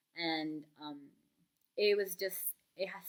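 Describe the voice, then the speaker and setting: Speaking with a non-native accent, a woman uses a fairly low pitch. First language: not English. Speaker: book vlogger. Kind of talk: casual vlog talk. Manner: hesitant, many fillers.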